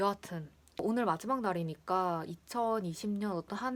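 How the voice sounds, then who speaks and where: Recorded very cleanly against a silent background, a woman speaks at a fairly slow pace in a relaxed tone with ordinary pitch variation. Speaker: vlogger. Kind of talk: casual chat. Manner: relaxed, chatty.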